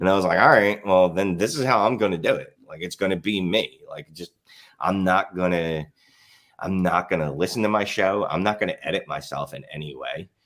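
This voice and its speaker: Loudness swings widely in this voice with a strong Philadelphia accent. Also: man, very deep, low pitch for a man, ordinary pitch variation, fairly quick pace. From Philadelphia, US. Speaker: fantasy football writer and podcaster. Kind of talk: podcast interview. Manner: casual, many fillers.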